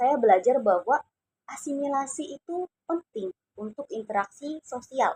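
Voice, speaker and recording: The woman's voice makes very wide pitch swings, recorded dry and close with no echo. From Indonesia, Cirebon (West Java). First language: Javanese (speaking Indonesian). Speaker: university student. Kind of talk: class assignment personal narration.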